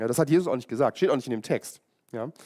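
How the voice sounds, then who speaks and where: A man's lively intonation on a very clean recording with a silent background. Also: dry, close sound with no echo. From East Germany. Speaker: pastor. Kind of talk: sermon.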